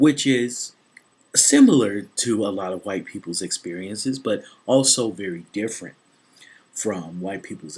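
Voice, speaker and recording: Pitch varies in an ordinary way. The pace is moderate. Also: man. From US South, Memphis, Tennessee. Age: 20s. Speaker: YouTuber, student. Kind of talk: personal vlog testimony.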